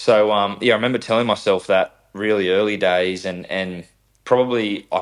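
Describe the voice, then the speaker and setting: Speaking at a fairly quick pace in an Australian accent, a man keeps a monotone, flat intonation in a very clean recording with a silent background. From Australia, south-western Sydney (Camden area). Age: 20s. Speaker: racing driver. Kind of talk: podcast interview. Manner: halting, many repetitions and fillers.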